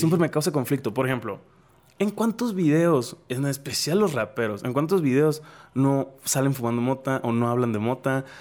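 A man talks at a moderate pace in an ordinary speaking voice with lively intonation. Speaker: podcast host. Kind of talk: casual chat.

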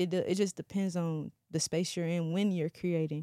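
Fairly low-pitched woman with an American accent, dark, mellow tone and fairly even intonation, on a very clean, dry, close recording with no echo and a silent background. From North Carolina small town. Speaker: music blogger and festival organizer. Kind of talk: casual chat.

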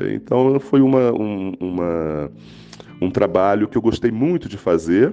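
Speaking at a fairly slow pace, a man uses lively intonation in a fairly low voice. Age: 50s. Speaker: children's author. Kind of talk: interview. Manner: halting.

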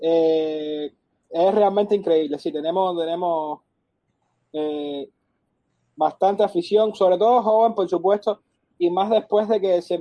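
Ordinary pitch variation marks a man's high voice. He speaks at a fairly slow pace. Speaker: football fan club president. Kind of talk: interview. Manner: halting, many repetitions.

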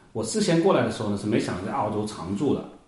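Speaking very fast, a man is heard over noticeable background noise with audible room echo. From China, Hunan (Yueyang). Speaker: software engineer and wine trader. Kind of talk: casual interview chat. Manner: halting, many fillers.

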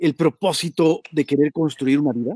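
A man with a Mexican accent is heard in a dry, close sound with no echo. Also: very clean recording, silent background. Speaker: online show host. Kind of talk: interview.

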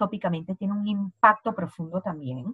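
Somewhat breathy speech comes at a moderate pace with ordinary pitch variation in a dry, close sound with no echo. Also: woman. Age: 40s. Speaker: essential oils advocate. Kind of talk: interview.

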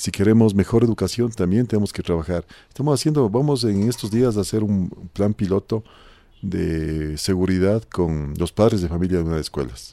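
On a very clean recording with a silent background, a man with a fairly low pitch and a dark, mellow tone speaks with lively intonation. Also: moderate pace. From Ecuador, Conocoto (near Quito). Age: 50s. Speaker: parish council president. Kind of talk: radio talk show discussion.

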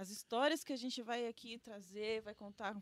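A woman with a normal speaking voice talks at a fairly quick pace. Her pitch is fairly high and varies in an ordinary way. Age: young. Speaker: podcast co-host. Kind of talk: casual chat.

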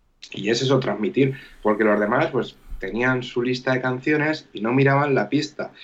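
The pace is moderate as a man talks. His voice sits at a medium pitch and rises and falls in a normal way. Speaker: DJ. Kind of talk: casual chat. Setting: live stream.

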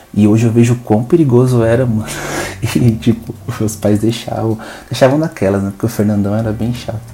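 A man with a relaxed tone and medium pitch talks at a fairly quick pace with fairly even intonation, amid noticeable background noise. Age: 20s. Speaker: podcast host. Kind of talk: casual monologue. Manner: relaxed, unscripted.

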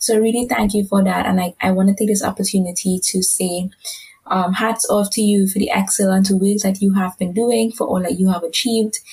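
A woman speaks at a fairly quick pace, her intonation monotone and flat. Her loudness stays very even over noticeable background noise. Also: medium pitch for a woman. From Caribbean. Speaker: podcast moderator, advocacy officer. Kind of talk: interview.

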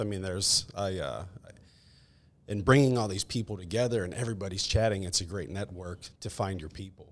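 A man with an American accent speaks at a fairly quick pace in an unremarkable speaking voice, fairly low in pitch with ordinary pitch variation, on a very clean recording with a silent background. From West Virginia (Tucker County). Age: 40s. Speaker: yoga studio co-owner. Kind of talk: casual chat.

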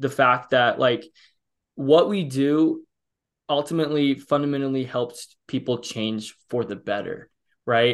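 Intonation stays fairly even as a man talks with a Midwestern American accent. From US Midwest, Illinois. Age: 20s. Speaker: fitness coach. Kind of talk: podcast interview. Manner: halting, self-correcting.

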